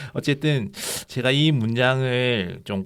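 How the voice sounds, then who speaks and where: A man at a medium pitch. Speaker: teacher and book co-author. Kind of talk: conversation.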